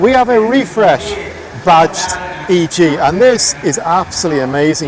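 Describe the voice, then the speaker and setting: A man's high-pitched voice with lively intonation, amid noticeable background noise. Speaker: car vlogger. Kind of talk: walkaround commentary. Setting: outdoor car meet. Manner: animated; raised voice over music.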